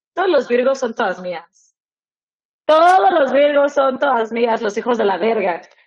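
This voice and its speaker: In a Mexican accent, a woman speaks fairly slowly at a high pitch with very wide pitch swings. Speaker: podcast co-host. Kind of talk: casual chat. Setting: studio.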